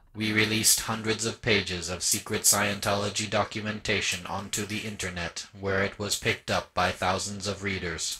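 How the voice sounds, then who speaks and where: A man uses a put-on character voice with a solemn tone. His intonation is monotone and flat, and he hardly pauses at all. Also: fairly low pitch for a man, moderate pace. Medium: audio drama. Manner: solemn, monotone, literal.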